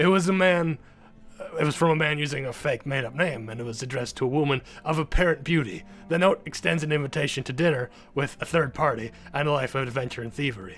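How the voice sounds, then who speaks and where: A man rattles off lines at a very fast pace in a put-on character voice, fairly high in pitch. Background noise is clearly audible. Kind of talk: mock-grand mystery parody. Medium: game stream. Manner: pompous, overly formal, dramatic.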